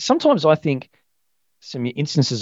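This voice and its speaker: Fairly quick male speech with an Australian accent. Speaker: financial planner. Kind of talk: casual chat.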